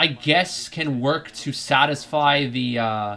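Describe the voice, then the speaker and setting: This man speaks with an American accent. His pitch varies in an ordinary way. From United States. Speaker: football fan streamer. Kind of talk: live match reaction commentary. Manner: casual, frequent fillers and self-corrections.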